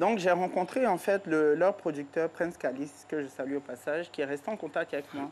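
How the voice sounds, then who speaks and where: In a plain, everyday voice, the speaker keeps a moderate pace with hardly any pauses and ordinary pitch variation. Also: woman, fairly low pitch for a woman. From Ivory Coast. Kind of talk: TV interview.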